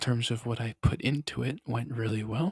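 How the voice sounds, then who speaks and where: The speech comes at a fairly slow pace, somewhat breathy, with ordinary pitch variation. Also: man. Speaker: ASMR artist and YouTuber. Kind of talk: ASMR talking and tapping, rambling casual talk to camera. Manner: whispered, soft-spoken.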